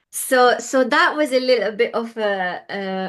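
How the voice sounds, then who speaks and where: A woman speaks in a Hungarian accent. Her pace is very slow. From Hungary, Budapest. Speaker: interior designer. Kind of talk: interview. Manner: hesitant, many fillers.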